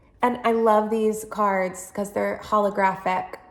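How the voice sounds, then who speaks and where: In a room with audible echo, a woman talks at a fairly slow pace with a medium pitch and ordinary pitch variation. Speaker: tarot reader and social worker. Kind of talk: guided tarot reading monologue.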